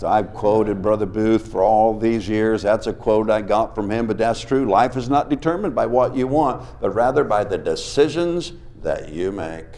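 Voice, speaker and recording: There is noticeable background noise and audible room echo as a man talks at medium pitch and a moderate pace with hardly any pauses. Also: ordinary pitch variation. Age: 60s. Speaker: revival preacher. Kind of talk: sermon. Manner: animated.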